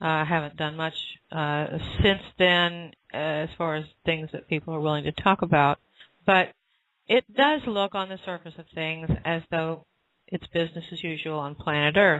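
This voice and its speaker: A woman's fairly low voice, with big swings in loudness, fairly even intonation and a moderate pace. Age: 60s. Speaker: spiritual author and channel. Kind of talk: interview answer, spiritual Q&A. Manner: hesitant, frequent uh fillers.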